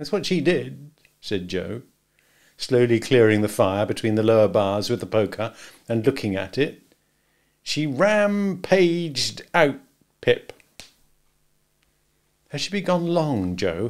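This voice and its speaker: Against a quiet background, a man speaks at a fairly slow pace with very wide pitch swings and long, frequent pauses. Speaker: reader of a novel. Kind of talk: audiobook reading. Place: home room.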